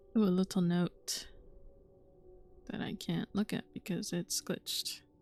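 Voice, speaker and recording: A woman speaks at a fairly slow pace, medium in pitch, with fairly even intonation. Music plays in the background, and the sound is dry and close with no echo. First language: Spanish. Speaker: gaming streamer. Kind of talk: let's play commentary.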